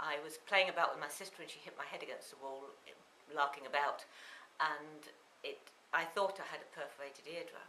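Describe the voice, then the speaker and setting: A woman speaks with a very deep, low pitch. Her voice carries audible room echo over noticeable background noise. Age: 60s. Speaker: patient giving testimonial. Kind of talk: testimony.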